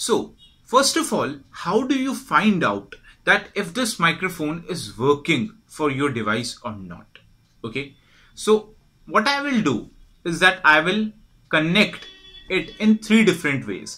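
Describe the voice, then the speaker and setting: Bright and sharp, a man's high voice swings very widely in pitch at a fairly slow pace against a quiet background. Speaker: product support demonstrator. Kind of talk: tutorial. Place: home room.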